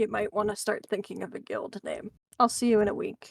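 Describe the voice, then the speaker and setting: In a put-on character voice, a woman sounds raspy at a fairly high pitch. She moves along at a fairly quick pace. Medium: actual play.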